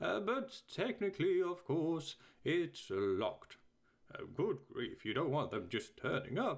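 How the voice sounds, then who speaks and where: A man puts on a character voice pitched high for a man. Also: fairly slow pace. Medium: read story. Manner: testy, smug.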